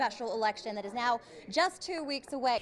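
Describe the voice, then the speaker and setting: With noticeable background noise, a woman talks at a fairly quick pace in a fairly high pitch, her intonation lively. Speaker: TV news anchor and reporter. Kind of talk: news headline teaser montage.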